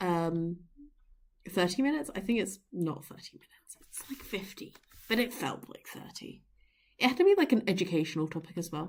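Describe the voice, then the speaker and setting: A woman speaks quietly and fairly quickly, with a medium pitch and lively intonation. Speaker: streamer and digital artist. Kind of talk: casual livestream chat while drawing. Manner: halting, many fillers. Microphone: poor mic quality.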